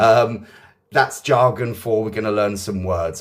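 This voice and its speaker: A man with an English accent, fairly low pitch, fairly even intonation and a moderate pace. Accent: English accent, praised by viewers. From southeast England. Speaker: English teacher. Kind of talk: live online lesson. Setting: livestream. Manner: casual, chatty, many fillers.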